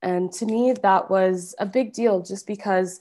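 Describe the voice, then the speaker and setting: A woman with a Canadian accent speaks at a medium pitch with ordinary pitch variation, in a plain, everyday voice. The recording is very clean, with a silent background. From Calgary, Alberta, Canada. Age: 20s. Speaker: fashion brand founder. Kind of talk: interview.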